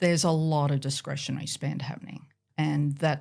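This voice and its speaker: In an Australian accent, a woman with a very deep, low pitch speaks with monotone, flat intonation. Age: 60s. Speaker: professor. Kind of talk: interview.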